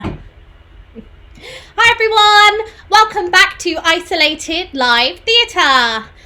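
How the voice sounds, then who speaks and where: In a raised, projected voice, a woman with an extremely high pitch makes very wide pitch swings, speaking at a very slow pace with long, frequent pauses. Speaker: co-founder of theatre company, live stream host. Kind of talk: live stream MC hosting. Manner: upbeat.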